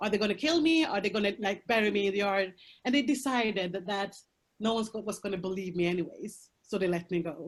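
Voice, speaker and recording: With a Swedish accent, a woman talks at a fairly quick pace and medium pitch with lively intonation against a quiet background. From Colombia, raised in Sweden. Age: 30s. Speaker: prostitution survivor, speaker. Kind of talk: testimony. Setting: video call. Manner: halting.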